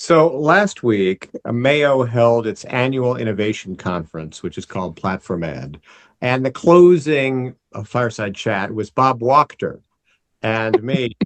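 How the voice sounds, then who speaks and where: A man with an unremarkable speaking voice talks at a medium pitch and a fairly slow pace. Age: 60s. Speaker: physician and health technology executive. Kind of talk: panel discussion.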